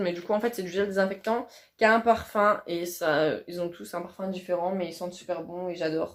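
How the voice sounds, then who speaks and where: A woman with a plain, everyday voice, medium pitch and fairly even intonation, at a fairly quick pace. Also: big swings in loudness. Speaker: beauty youtuber. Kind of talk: casual product review vlog.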